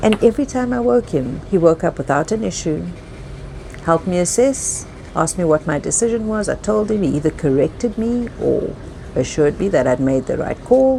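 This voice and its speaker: A woman talks at a fairly quick pace with a fairly low pitch and very wide pitch swings. Noticeable background noise sits behind her. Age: 50s. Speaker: yacht stewardess and storyteller. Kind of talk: personal story narration. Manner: reflective.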